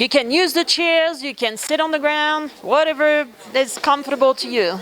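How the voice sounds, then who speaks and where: A woman's high voice with a French accent at a moderate pace, with noticeable background noise. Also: ordinary pitch variation. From France. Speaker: former theme park executive turned consultant and speaker. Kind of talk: guest talk to university class.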